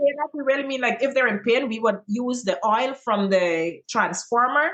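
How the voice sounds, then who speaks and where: Noticeable background noise sits behind a high-pitched woman. Her intonation is lively and her pace moderate. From Guyana. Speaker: teacher and content creator. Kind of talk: interview answer.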